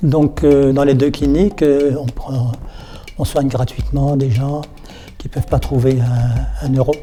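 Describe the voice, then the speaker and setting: Noticeable background noise sits under this man's voice. He speaks fairly slowly at a fairly high pitch for a man. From Alsace, France (Colmar). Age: 70s. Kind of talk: interview testimony. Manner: halting, repeats words.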